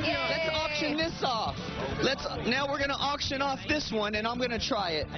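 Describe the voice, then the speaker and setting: Loud music plays in the background of a dry recording with no echo, where the speech moves at a moderate pace. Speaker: TV news field reporter. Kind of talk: TV news field report. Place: hall. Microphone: handheld.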